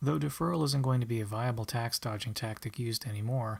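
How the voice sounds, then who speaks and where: A man speaks quietly at a very fast pace with a medium pitch and a somewhat breathy quality. The recording is very clean, with a silent background. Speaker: college student. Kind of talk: class presentation narration. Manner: quiet, monotonous.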